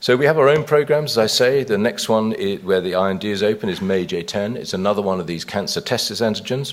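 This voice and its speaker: A man with a British accent, fairly low-pitched, talking very fast with ordinary pitch variation over noticeable background noise. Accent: British accent, noted by himself. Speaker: biotech company chief executive. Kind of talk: investor conference presentation. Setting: conference stage with audience. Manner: frequent hesitations and fillers; brisk pace.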